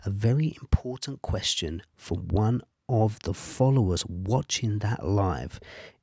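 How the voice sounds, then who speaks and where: In a very clean recording with a silent background and a dry, close sound with no echo, a man speaks at a fairly slow pace in a fairly low, somewhat breathy voice with a dark, mellow tone and lively intonation. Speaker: podcast host. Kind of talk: scripted podcast intro and outro.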